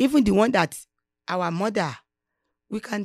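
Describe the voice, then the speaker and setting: Someone with a Nigerian accent speaks at a moderate pace in a very clean recording with a silent background. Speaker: businesswoman. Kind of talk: interview.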